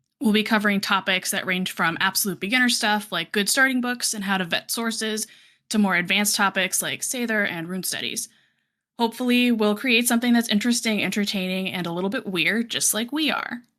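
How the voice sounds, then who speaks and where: A woman with a General American accent speaks at a fairly quick pace in a bright, sharp tone, fairly high in pitch with ordinary variation. The recording is very clean with a silent background. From Colorado. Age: 30s. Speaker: podcast host, librarian. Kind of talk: podcast intro and casual chat.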